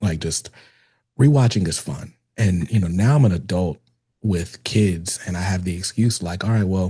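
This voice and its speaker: Against a quiet background, a man speaks with a very deep, low pitch and a dark, mellow, somewhat breathy tone. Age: 30s. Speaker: podcast host. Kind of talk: casual interview chat.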